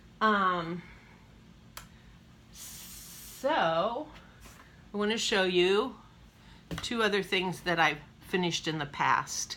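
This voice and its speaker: A woman's very slow, lively voice, bright and sharp in tone, with long, frequent pauses. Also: medium pitch for a woman. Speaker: cross-stitch vlogger. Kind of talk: casual show-and-tell.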